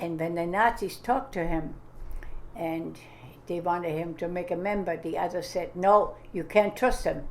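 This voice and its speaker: A woman with a fairly low voice speaks in a room with audible echo. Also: ordinary pitch variation, moderate pace. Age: 90s. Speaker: grandmother telling family history. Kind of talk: oral history interview. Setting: home interview with audio recorder. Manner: halting.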